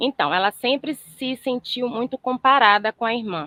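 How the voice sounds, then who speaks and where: Here a woman speaks at a moderate pace. She has a Bahian accent. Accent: Bahian accent, noticeable. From Brazil, Salvador, Bahia. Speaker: therapist student. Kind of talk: case presentation in online class.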